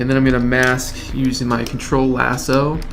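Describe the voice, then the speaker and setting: Male speech in a room with audible echo, plus noticeable background noise. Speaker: 3D artist. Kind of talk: tutorial.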